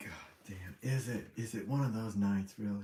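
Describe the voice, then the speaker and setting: A man speaks at a moderate pace with a dark, mellow tone and fairly even intonation. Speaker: livestreamer. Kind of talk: casual livestream chat. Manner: rambling, halting.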